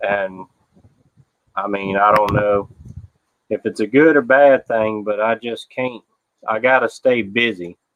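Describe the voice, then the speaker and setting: Speaking with an American accent, a man goes at a fairly slow pace with fairly even intonation and long, frequent pauses. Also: fairly low pitch for a man. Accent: Southern US accent, people tease how he talks. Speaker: livestreamer. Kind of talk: casual chat. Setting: outdoors. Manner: relaxed, chatty. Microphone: laptop webcam with noise cancellation.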